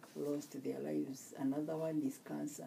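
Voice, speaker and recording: A woman speaks with a Kenyan accent. Noticeable background noise is present. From Kenya (Murang'a, Kikuyu). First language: Kikuyu. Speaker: nurse. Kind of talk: interview. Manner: halting.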